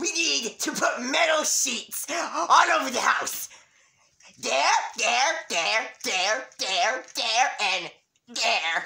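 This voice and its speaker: A cartoonish character voice is pitched high. It moves at a very slow pace. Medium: puppet. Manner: frantic, excitable.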